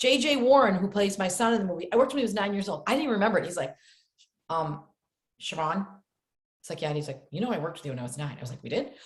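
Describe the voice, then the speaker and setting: A woman's somewhat breathy, animated voice at medium pitch, very fast, with very wide pitch swings, big swings in loudness, and long, frequent pauses. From upstate New York. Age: 60s. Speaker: actress. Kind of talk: podcast interview.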